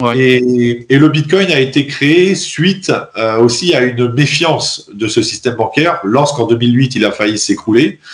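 Normal pitch variation comes through as the voice proceeds fairly slowly. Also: man, medium pitch for a man. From France. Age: 30s. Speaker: engineer and Bitcoin advocate. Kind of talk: interview. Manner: hesitant, many fillers.

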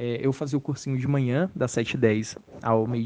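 A man speaks at a moderate pace with fairly even intonation and a dark, mellow tone. The background is quiet. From Bahia sertão, then São Paulo region, Brazil. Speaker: medical student. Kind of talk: recorded testimony.

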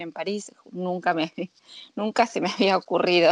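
A woman speaks at a moderate pace in a fairly low pitch, with a plain, everyday voice and a dry, close sound with no echo. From Argentina. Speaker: sommelier. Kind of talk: interview.

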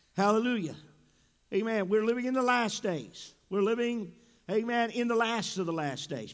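A high-pitched man in an animated tone, at a moderate pace with long, frequent pauses, amid audible room echo. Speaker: pastor. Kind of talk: sermon. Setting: church. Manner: animated, frequent interjections.

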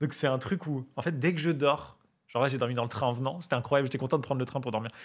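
A man's medium-pitched voice, fairly even in intonation and very fast, on a very clean recording with a silent background. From western France, Angers area. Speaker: YouTuber. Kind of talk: casual chat.

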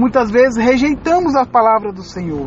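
Noticeable background noise accompanies a woman speaking in a solemn tone. Her pitch is high. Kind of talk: sermon. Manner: earnest, pleading, pastoral appeal to the listener; solemn, moving into prayer at the close.

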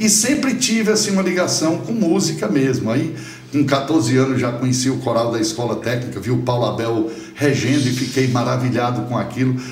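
A man speaks with lively intonation. Room echo is audible, and music plays in the background. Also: medium pitch for a man, fairly quick pace. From Ceará, Brazil (Viçosa do Ceará). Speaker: conductor and music professor. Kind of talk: casual interview.

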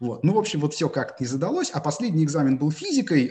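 A somewhat breathy male voice. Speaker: math teacher and research mathematician. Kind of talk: interview. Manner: hesitant, frequent filler sounds.

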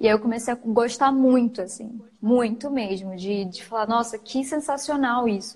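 A woman's unremarkable speaking voice, fairly high in pitch with ordinary variation, at a moderate pace with hardly any pauses. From Macapá, northern Brazil. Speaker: photographer and online shop owner. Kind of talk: casual interview. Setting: live stream.

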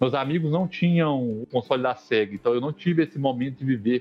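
A man with a fairly high voice speaks at a moderate pace over background music. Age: 30s. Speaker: podcast co-host, chemist. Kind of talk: casual chat.

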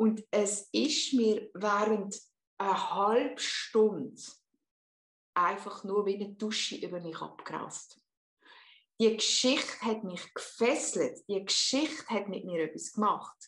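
A woman with a fairly high voice talks very slowly. She leaves long, frequent pauses, and her pitch varies in an ordinary way. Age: 50s. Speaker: hypnotherapist. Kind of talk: interview.

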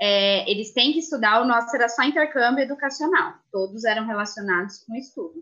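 Hardly pausing, a woman speaks at a fairly quick pace with a fairly high pitch, a bright, sharp tone and lively intonation. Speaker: former au pair. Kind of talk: live stream panel talk.

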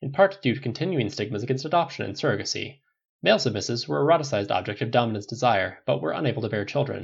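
The voice is a natural reading voice with lively intonation. The background is quiet.

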